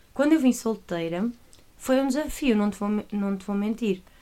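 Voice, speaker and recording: A woman's medium-pitched voice in a Porto accent, dark and mellow in tone, at a fairly quick pace. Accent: northern Portuguese (Porto). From northern Portugal, Porto area. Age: 20s. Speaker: church worker, former teacher. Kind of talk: casual chat.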